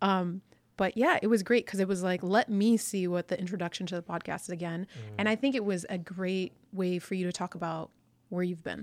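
Very clean, with a silent background and a dry, close sound with no echo, the recording has a woman using a plain, everyday voice in an American accent at medium pitch, with ordinary pitch variation and a fairly quick pace. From US, Pakistani-Indian family. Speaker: entrepreneur, fitness business owner. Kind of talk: casual chat.

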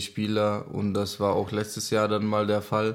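Here a man talks at a moderate pace with a Czech accent. His pitch sits fairly low. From Czech Republic, near Olomouc. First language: Czech (speaking German). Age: 20s. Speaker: ice hockey player. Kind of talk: interview.

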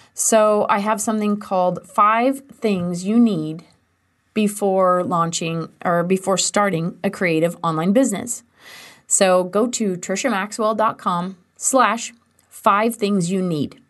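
Very slowly, a woman speaks in a medium pitch with an American accent. Her pitch varies in an ordinary way, and the background is quiet. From US Midwest, western Kansas. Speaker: business coach and podcast host. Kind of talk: solo podcast tutorial. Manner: enthusiastic.

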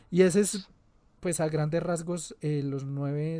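This man has a dark, mellow tone and talks at a fairly slow pace. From Colombia, Antioquia. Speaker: podcast host. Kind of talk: casual chat.

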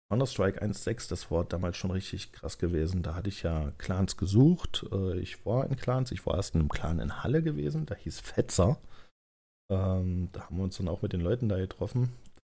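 A man's very deep, low pitch, somewhat breathy, in a dark, mellow tone. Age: 30s. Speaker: podcaster and gamer. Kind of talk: casual solo monologue. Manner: hesitant, many fillers.

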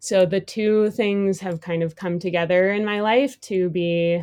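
A woman with an American accent uses a plain, everyday voice at medium pitch and fairly even intonation, recorded dry and close with no echo against a quiet background. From Madison, Wisconsin. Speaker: photographer and artist. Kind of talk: casual interview.

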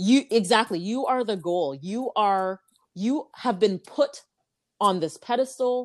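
In a Canadian accent, a woman with a plain, everyday voice speaks at a fairly slow pace with fairly high pitch and lively intonation, on a very clean recording with a silent background. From Canada (Ajax, Ontario). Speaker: podcast guest, host's sister. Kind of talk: casual chat.

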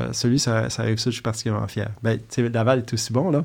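Against a quiet background, a man talks with a Quebec accent. His intonation stays fairly even. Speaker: fertility doctor. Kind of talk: interview. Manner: halting.

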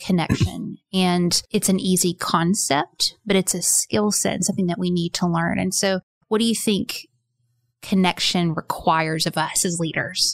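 In a dry, close recording with no echo, a woman speaks fairly slowly and fairly low, with vocal fry and fairly even intonation.

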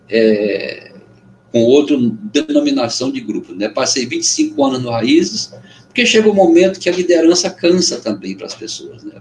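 A man's moderately paced speech, loudness rising and falling in big swings. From Amazonas interior, Brazil (Benjamin Constant). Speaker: poet, musician and former teacher. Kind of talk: casual interview chat. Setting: video call.

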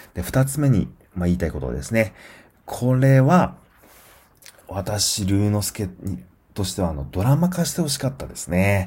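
A man speaks slowly with a fairly low, dark and mellow voice, somewhat breathy, his pitch swinging very widely between long, frequent pauses. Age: 40s. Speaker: podcast host reviewing films. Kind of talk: solo film review podcast. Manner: frequent fillers and hesitations.

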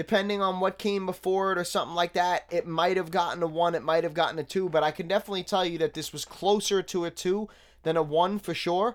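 In a very clean recording with a silent background, a man with a New York accent and a high pitch talks at a very fast pace with hardly any pauses and fairly even intonation. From Staten Island, New York City. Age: 30s. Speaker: podcast host reviewing hip hop. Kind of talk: casual solo commentary.

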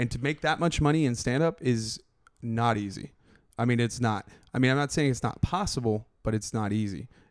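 Using a plain, everyday voice, a man with a medium pitch speaks at a fairly quick pace with ordinary pitch variation. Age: 30s. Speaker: podcast host and comedian. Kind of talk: casual chat.

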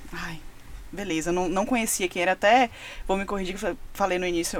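Very fast speech from a woman, with ordinary pitch variation. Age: 20s. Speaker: music communications agency partner. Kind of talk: casual chat.

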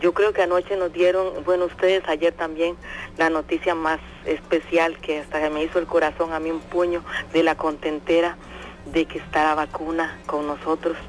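Music plays in the background as a woman speaks at a moderate pace. Her fairly low voice stays monotone and flat. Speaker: radio listener. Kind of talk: phone-in chat.

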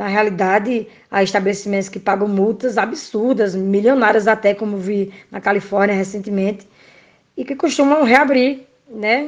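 A woman with a plain, everyday voice, medium in pitch, with ordinary pitch variation at a moderate pace. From Brazil, Pernambuco backcountry. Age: 30s. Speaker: nursing technician. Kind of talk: interview. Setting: remote call.

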